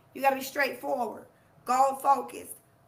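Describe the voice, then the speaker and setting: A woman with a high pitch uses a raised, projected voice. Audible room echo surrounds her. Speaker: life coach. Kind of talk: motivational live talk. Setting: livestream. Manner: slow; loud, forceful.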